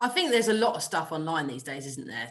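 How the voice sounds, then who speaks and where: Noticeable background noise sits behind a woman with a British accent whose pitch varies in an ordinary way. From UK. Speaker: golf coach. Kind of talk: podcast interview.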